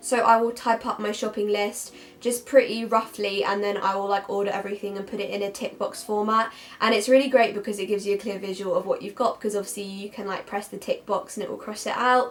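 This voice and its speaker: At a very fast pace, a woman speaks in a monotone with flat intonation. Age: young. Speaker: university student; university student vlogger. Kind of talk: casual talk to camera. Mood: cheerful, friendly.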